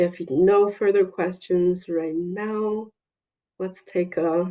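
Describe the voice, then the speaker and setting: Very slow speech in a non-native accent, with monotone, flat intonation. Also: woman, medium pitch for a woman. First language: not English. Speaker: EMDR consultant leading a therapist consultation group. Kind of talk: group consultation meeting.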